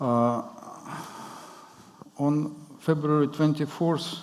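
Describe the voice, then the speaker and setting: A man talks at a very slow pace in a monotone, flat intonation. Audible room echo surrounds his voice. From Ukraine. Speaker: journalist. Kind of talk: conference talk. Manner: halting.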